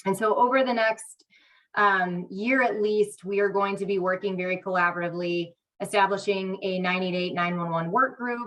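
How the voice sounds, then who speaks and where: A woman's plain, everyday voice at medium pitch, with fairly even intonation and a moderate pace. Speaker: state crisis line program manager. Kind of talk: meeting presentation. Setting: hybrid meeting, remote or in person.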